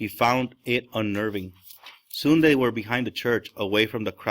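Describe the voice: Ordinary pitch variation in plain reading aloud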